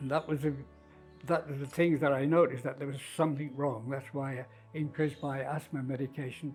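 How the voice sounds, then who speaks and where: Intonation stays fairly even at a fairly quick pace. Music plays in the background. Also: man. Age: 80s. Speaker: heart valve patient, golfer. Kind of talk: interview answer.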